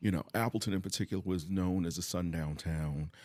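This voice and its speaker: Over a silent background on a very clean recording, a man talks fairly quickly. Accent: American. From US East Coast. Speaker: educator and nonprofit co-chair. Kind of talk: podcast interview.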